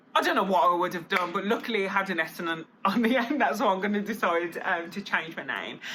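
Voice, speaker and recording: Over noticeable background noise, a woman talks very fast at a medium pitch. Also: ordinary pitch variation, hardly any pauses. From Birmingham, England. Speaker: vlogger. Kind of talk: casual vlog talk. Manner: chatty, filler-heavy.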